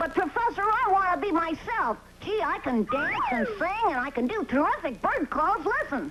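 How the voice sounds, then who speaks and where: A cartoonish character voice at an extremely high pitch swings very widely in pitch at a moderate pace, with clear background noise. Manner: earnest, innocent.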